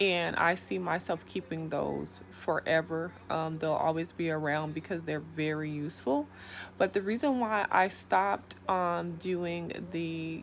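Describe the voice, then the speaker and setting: A soft-spoken woman with a very deep, low pitch speaks with lively intonation. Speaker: YouTube vlogger. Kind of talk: casual vlog monologue. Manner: hesitant, many fillers.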